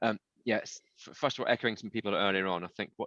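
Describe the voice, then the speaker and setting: A man with a fairly low pitch speaks in a bright, sharp tone with fairly even intonation. The sound is dry and close, with no echo. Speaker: tech company CEO. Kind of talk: panel discussion. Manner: fast.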